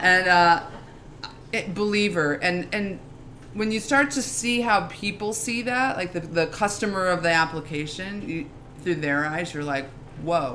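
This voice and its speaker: With an American accent, a woman speaks at a fairly slow pace in a fairly low pitch, her tone animated and her intonation lively, with audible room echo. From New York. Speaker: legal operations executive. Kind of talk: live interview on stage. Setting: stage with live audience.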